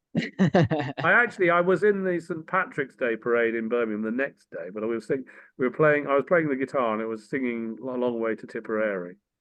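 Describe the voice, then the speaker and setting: In an English accent, a man talks at a fairly quick pace with lively intonation and hardly any pauses. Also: medium pitch for a man. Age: 60s. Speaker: former politician and tech entrepreneur. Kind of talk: casual chat.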